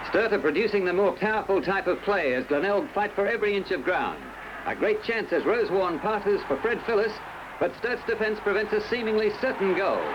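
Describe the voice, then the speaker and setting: Against noticeable background noise, a man with a high pitch speaks at a fairly quick pace, with ordinary pitch variation and very even loudness. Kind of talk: newsreel sports commentary.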